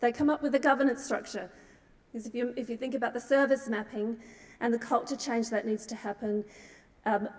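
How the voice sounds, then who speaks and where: With an Australian accent, a woman speaks in a fairly high voice whose intonation stays fairly even. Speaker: nonprofit CEO, keynote speaker. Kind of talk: conference talk. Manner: halting, many fillers.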